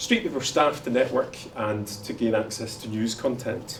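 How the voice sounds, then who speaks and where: Amid noticeable background noise and audible room echo, a man talks with a Glaswegian accent and ordinary pitch variation. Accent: Glaswegian Scottish. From Scotland, Glasgow. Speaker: panel moderator. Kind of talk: conference panel introduction. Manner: fast.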